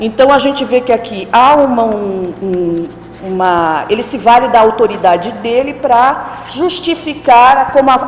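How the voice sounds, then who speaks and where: A woman at a fairly slow pace, with audible room echo and noticeable background noise. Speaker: academic conference presenter. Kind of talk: conference talk. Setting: auditorium with audience. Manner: halting.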